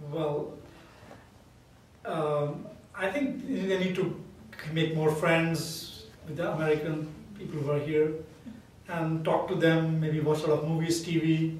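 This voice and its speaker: Through noticeable background noise and audible room echo, a man with a fairly high pitch speaks at a fairly slow pace with fairly even intonation and long, frequent pauses. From India. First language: Indian language. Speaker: math professor. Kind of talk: interview.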